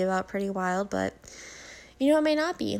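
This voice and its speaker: This speech comes at a fairly quick pace. The voice belongs to a woman. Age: 20s. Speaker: podcast host. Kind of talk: casual recap monologue. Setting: at home. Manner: halting, stumbles over words.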